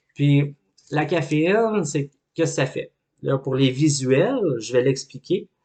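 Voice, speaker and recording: A man's very slow, somewhat breathy voice, fairly high in pitch yet dark and mellow in tone, with ordinary pitch variation, big swings in loudness, and a dry, close sound with no echo. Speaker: life coach. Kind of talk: educational talk.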